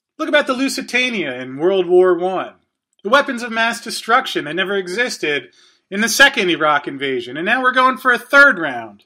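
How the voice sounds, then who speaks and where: A man with an American accent, high-pitched and bright and sharp in tone, raised and projected, with very wide pitch swings, big swings in loudness and a fairly quick pace, on a very clean recording with a silent background. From US Northeast (New Jersey). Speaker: podcast host. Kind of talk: solo monologue.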